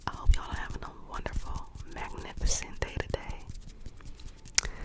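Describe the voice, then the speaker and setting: A woman whispers at a fairly slow pace, her loudness swinging widely. Noticeable background noise is present. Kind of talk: casual friendly greeting to camera. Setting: cozy bedtime ASMR recording. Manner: warm, cheerful, friendly.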